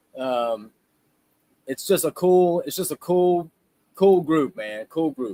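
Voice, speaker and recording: This man has a Louisiana accent and a fairly high pitch. The sound is dry and close, with no echo. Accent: Southern US, Louisiana. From South Louisiana. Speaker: live stream co-host. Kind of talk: casual live stream chat. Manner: animated.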